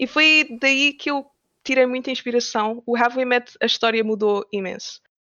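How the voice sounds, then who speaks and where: This woman has a high pitch and ordinary pitch variation. She talks at a moderate pace. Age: 20s. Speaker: game developer. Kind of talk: interview.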